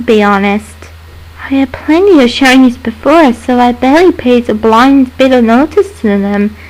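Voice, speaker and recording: The speaker uses lively intonation against noticeable background noise. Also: woman, high pitch for a woman, moderate pace. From British. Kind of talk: creepypasta story narration. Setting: built-in microphone.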